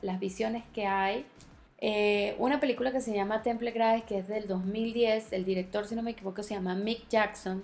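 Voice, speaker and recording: Animated in tone, a woman speaks at a moderate pace. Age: 30s. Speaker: podcast host. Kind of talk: solo monologue podcast.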